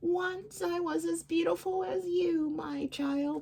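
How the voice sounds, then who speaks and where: Putting on a character voice, a man speaks fairly slowly at a high pitch. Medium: read story. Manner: sly, false kindness.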